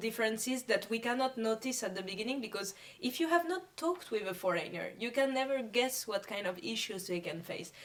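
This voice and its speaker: Through noticeable background noise comes a woman's fairly high voice, quick in pace and lively in intonation. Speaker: community radio founder. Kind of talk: casual interview chat.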